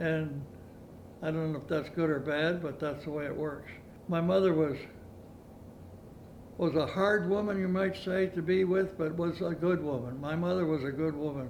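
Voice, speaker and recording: Amid audible room echo, a man with a rural Canadian accent speaks at a fairly high pitch with fairly even intonation and long, frequent pauses. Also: moderate pace. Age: 90s. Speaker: retired farmer. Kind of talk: oral history interview. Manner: halting.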